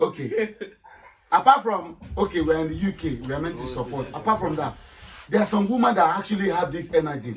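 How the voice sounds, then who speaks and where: Lively intonation with a Nigerian accent at a fairly quick pace. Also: man, high pitch for a man. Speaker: panel member. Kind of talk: casual chat. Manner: halting.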